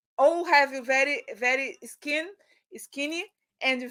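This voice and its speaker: A woman's high-pitched voice with a Brazilian Portuguese accent, a bright, sharp tone and ordinary pitch variation. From Brazil, Rio de Janeiro. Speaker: fashion stylist and image consultant. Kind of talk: interview. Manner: halting.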